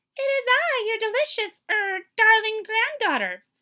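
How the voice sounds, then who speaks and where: Someone performs a put-on character voice. The pitch is extremely high. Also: moderate pace. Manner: feigning sweetness.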